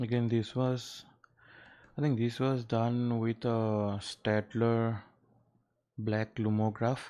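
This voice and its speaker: A man's very slow, relaxed delivery in an Assam accent, medium in pitch with a dark, mellow tone, monotone and flat, very even in loudness, with long, frequent pauses over a quiet background. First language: Assamese. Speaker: artist livestreamer. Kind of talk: casual livestream chat. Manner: hesitant, many fillers.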